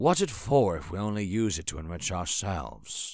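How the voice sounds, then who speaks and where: A man does a raspy, put-on character voice with lively intonation. He keeps a moderate pace over a very clean recording with a silent background. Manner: eager, enthusiastic, earnest.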